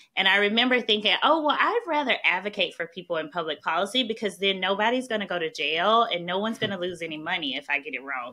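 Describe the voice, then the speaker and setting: In a Southern US accent, a woman speaks at a very fast pace with hardly any pauses and lively intonation, over noticeable background noise. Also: medium pitch for a woman. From US South, small-town Mississippi. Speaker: national security policy expert. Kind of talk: podcast interview.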